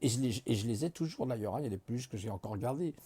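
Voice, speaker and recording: Very fast and with lively intonation, a man speaks at a medium pitch in a dark, mellow, somewhat breathy tone. The sound is dry and close with no echo. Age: 50s. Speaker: vlogger. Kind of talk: casual monologue. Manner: relaxed; halting.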